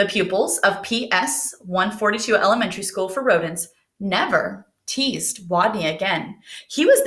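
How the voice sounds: Quiet surroundings behind a natural reading voice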